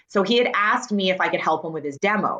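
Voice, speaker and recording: A woman's animated, fairly quick speech with ordinary pitch variation and a slight Canadian accent. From Canada, Surrey BC. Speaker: radio host and voice actor. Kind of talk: casual interview chat.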